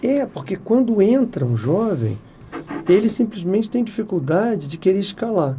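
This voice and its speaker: Pitched high for a man, his voice moves with lively intonation at a moderate pace. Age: 60s. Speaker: software company president. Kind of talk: podcast interview.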